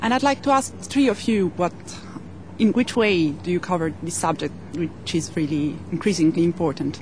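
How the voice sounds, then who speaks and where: In an Italian accent, a woman with a fairly low voice speaks at a moderate pace, her pitch swinging very widely over noticeable background noise. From Italy. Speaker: journalist, audience member. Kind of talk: audience question.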